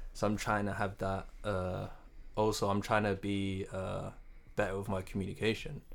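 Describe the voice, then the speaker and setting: In a monotone, flat intonation, a man speaks at a moderate pace and a fairly low pitch. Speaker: co-host. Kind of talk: casual banter podcast chat.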